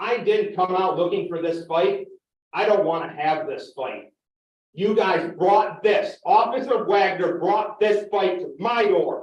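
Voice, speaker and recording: Loud and fairly slow, a man with a high voice speaks with ordinary pitch variation while room echo is audible. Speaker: farmer and resident speaking at public comment. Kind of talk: public meeting comment. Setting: village council meeting.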